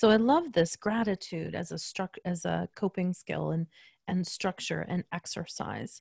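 With a fairly low pitch, a woman speaks at a moderate pace in a somewhat breathy voice. Her intonation is fairly even, and the background is quiet. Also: dry, close sound with no echo. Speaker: podcast host and business coach. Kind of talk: interview.

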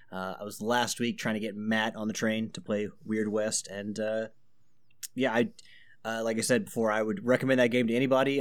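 An animated tone at a moderate pace on a very clean recording with a silent background. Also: man. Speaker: podcast co-host. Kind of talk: casual banter, swearing. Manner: animated, profane.

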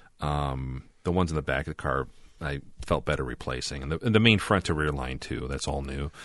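Very deep and low, a man's voice with vocal fry moves at a fairly quick pace with ordinary pitch variation. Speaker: podcast host. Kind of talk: casual chat.

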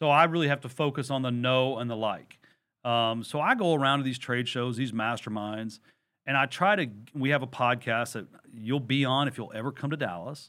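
Here a man talks at a fairly quick pace, medium in pitch, with ordinary pitch variation. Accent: Texan. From Texas. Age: 40s. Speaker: real estate investor and lender, former Marine. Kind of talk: interview.

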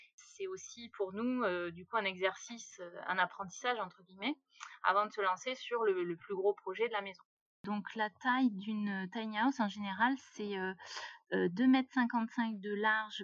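A woman with an ordinary speaking voice at medium pitch, fairly slow in pace, with ordinary pitch variation and a dry, close sound with no echo. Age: 30s. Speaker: self-builder of a tiny house. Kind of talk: interview conversation.

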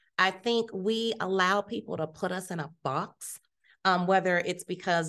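With an American accent, a woman speaks in a normal speaking voice at a medium pitch, her intonation lively against a quiet background. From Ohio, US Midwest (Youngstown). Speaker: health system executive, former nurse. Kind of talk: interview. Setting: conference summit.

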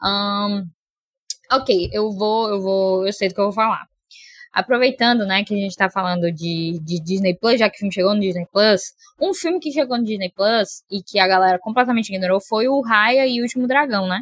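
A woman at medium pitch speaks at a moderate pace with ordinary pitch variation, in a plain, everyday voice. The sound is dry and close, with no echo. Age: 20s. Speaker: film podcast guest. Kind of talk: casual chat.

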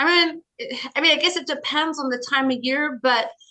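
A woman with an American accent uses a raised, projected voice with a bright, sharp tone. Her pace is moderate and her pitch varies in an ordinary way. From US, Colorado. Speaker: business professor and author. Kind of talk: interview.

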